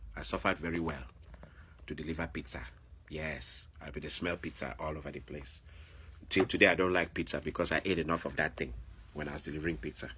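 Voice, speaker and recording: With an African accent, a man speaks at a very fast pace in a very deep, low pitch with vocal fry, a bright, sharp tone, ordinary pitch variation and long, frequent pauses. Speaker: video blogger. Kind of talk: monologue commentary. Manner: animated.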